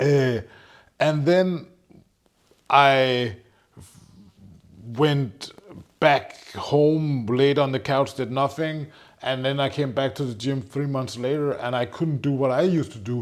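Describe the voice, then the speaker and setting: Speaking very slowly with long, frequent pauses, a man uses a fairly high pitch and fairly even intonation. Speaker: entrepreneur. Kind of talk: casual chat.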